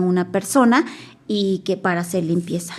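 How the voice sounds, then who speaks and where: A woman speaks in a Mexican accent with ordinary pitch variation. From Mexico, Nahuatl-speaking village. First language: Nahuatl (speaking Spanish). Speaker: Nahuatl interpreter-translator. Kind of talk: testimony.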